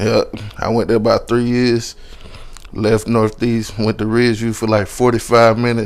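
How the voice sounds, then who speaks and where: Amid noticeable background noise, a man speaks at a moderate pace in a medium pitch with monotone, flat intonation. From South Carolina (Columbia). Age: 20s. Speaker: comedian. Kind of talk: casual chat.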